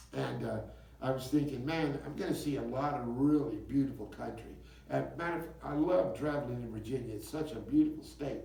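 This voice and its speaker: With a Southern US accent, a man talks at a fairly quick pace. Noticeable background noise and audible room echo surround him. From US South, West Memphis, Arkansas. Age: 60s. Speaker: singer-songwriter. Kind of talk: interview. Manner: halting.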